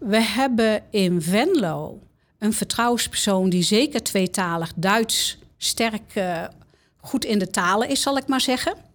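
In a very clean recording with a silent background, a woman speaks at a very slow pace. Her fairly high voice has lively intonation and very even loudness. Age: 60s. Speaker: confidential counsellor at a university of applied sciences. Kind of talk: interview.

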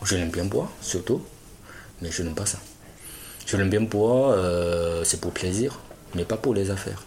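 A man speaks in a Chinese accent at a fairly low pitch with ordinary pitch variation. Noticeable background noise runs behind him. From China. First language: Chinese (speaking French). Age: 30s. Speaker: businessman. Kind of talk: interview. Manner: halting.

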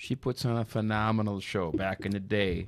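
In a very clean recording with a silent background, a man with an Upper Midwest accent speaks at a moderate pace, his pitch fairly low and his intonation fairly even. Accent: Upper Midwest (Minnesota). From Saint Paul East Side, Minnesota. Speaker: former police officer. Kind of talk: casual chat.

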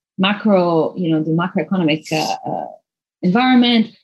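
A somewhat breathy woman at medium pitch, with lively intonation and a moderate pace. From Lebanon. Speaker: venture capital investor. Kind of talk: interview.

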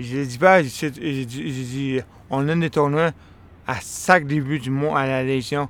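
This man talks at a very slow pace, his fairly high voice carrying fairly even intonation. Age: 40s. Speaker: interviewee. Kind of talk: personal storytelling. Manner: halting.

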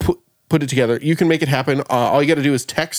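A man with a fairly high pitch and ordinary pitch variation has an unremarkable speaking voice, captured in a very clean recording with a silent background. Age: 30s. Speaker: podcast host. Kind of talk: casual chat.

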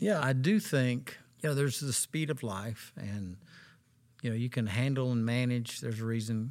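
An ordinary speaking voice with ordinary pitch variation moves at a moderate pace over a very clean recording with a silent background. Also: man. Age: 60s. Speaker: associate pastor. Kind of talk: interview conversation.

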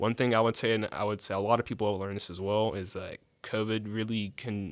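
A man speaks with an Alabama accent at a fairly quick pace. The recording is very clean, with a silent background. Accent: US Southern (Alabama). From Alabama, near Dothan. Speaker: recent public health graduate. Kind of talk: interview. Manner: halting, many fillers.

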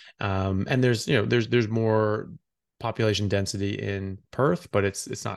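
Against a quiet background, a man with an ordinary speaking voice, fairly low pitch and an American accent talks at a moderate pace. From US, Seattle area (born California). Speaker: physician and neurosurgical resident. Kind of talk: podcast interview. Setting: remote call.

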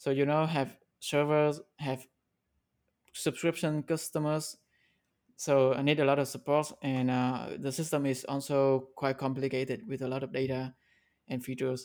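A non-native accent with fairly even intonation, a moderate pace and long, frequent pauses, on a very clean recording with a silent background. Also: man, fairly high pitch for a man. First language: not English. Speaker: indie app developer. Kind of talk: casual interview. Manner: halting, with fillers and repeats.

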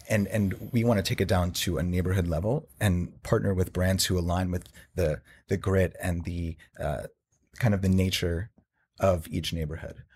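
In a very clean recording with a silent background, a somewhat breathy man with an American accent and a very deep, low pitch speaks at a moderate pace with fairly even intonation. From New Jersey. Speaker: startup CEO. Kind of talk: podcast interview.

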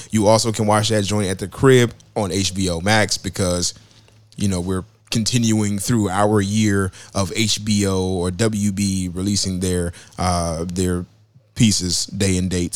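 In a very clean recording with a silent background, a man with a fairly low pitch speaks at a fairly slow pace in an animated tone. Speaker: podcast host. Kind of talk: casual banter podcast. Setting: live-streamed podcast. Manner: animated, joking.

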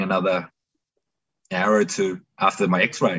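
The speaker is a man with an Australian accent. His intonation stays fairly even. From Melbourne, Australia. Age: 30s. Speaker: tradesman. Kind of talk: interview.

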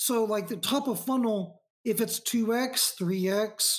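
A high-pitched man with an American accent and ordinary pitch variation. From US South, Northwest Arkansas. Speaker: marketing executive. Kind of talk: podcast interview.

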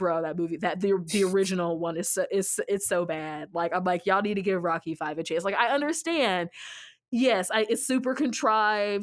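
A woman with an ordinary speaking voice at a medium pitch, fairly quick in pace, lively in intonation, in a very clean recording with a silent background. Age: 30s. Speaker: podcast host and author. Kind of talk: casual chat. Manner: repetitive false starts.

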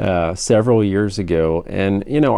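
The voice has a Texan accent, a dark, mellow tone and lively intonation. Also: man. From Texas. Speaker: state senator. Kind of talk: interview.

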